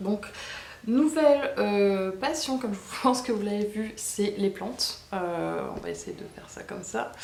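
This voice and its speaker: Noticeable background noise fills the clip. Over it, a woman talks at a moderate speed. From Bordeaux, France. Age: 30s. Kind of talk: casual talk to camera. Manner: casual, hesitant with many fillers.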